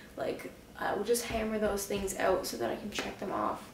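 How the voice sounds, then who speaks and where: At a moderate pace, a woman talks amid audible room echo and light background noise. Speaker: vlogger, bullet journaler. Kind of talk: casual talk to camera. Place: home room. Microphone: camera far.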